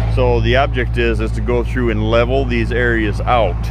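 A man's voice sounds dry with no echo, over noticeable background noise. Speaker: channel host. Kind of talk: casual vlog tutorial. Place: open country. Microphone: phone near.

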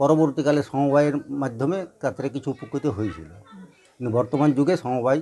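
Over light background noise, a man with a fairly high pitch and a dark, mellow tone talks with ordinary pitch variation. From West Bengal. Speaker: handloom weaver community representative. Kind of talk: interview. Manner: halting. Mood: worried about failing trade. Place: workshop.

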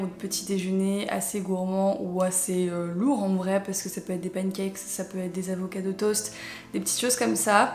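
Moderate pace from a woman, amid audible room echo and a little background noise. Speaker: lifestyle youtuber. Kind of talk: casual advice vlog. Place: home room.

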